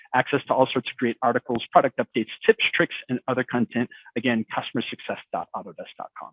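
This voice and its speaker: This man talks at a very fast pace in a medium pitch, keeping his intonation fairly even while his loudness swings widely. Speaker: software expert presenter. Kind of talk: webinar presentation; panel discussion answer.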